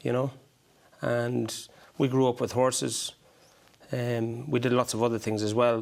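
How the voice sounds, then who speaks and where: A man with an Irish accent speaks at a moderate pace and medium pitch. His intonation is monotone and flat, broken by long, frequent pauses. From Ireland. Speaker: horse breeder. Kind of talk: interview. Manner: hesitant.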